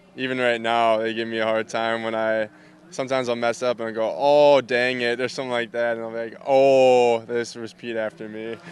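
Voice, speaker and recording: A man with a Minnesotan accent speaks at a fairly quick pace and a medium pitch. His intonation stays monotone and flat. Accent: Minnesota. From Minnesota, US. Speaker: baseball player. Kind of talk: interview.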